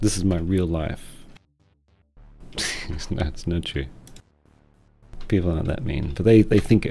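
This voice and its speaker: A man's very deep, low voice mumbling at a moderate pace, with ordinary pitch variation, long, frequent pauses and music in the background. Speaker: streamer thanking a viewer.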